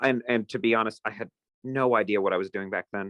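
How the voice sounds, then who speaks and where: Over a quiet background, the speaker talks very fast in a bright, sharp tone with fairly even intonation. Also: man. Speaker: independent filmmaker. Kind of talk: interview.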